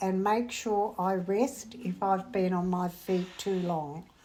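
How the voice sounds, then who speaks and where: Her pace is very slow. The woman talks in an Australian accent. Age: 80s+. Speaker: retired bookkeeper. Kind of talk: interview.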